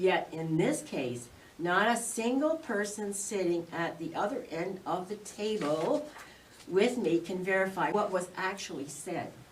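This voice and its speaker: A woman speaks loudly at a medium pitch and a fairly slow pace, her pitch swinging very widely. Noticeable background noise and audible room echo surround her. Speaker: township councillor. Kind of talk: prepared statement at council meeting. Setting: council meeting.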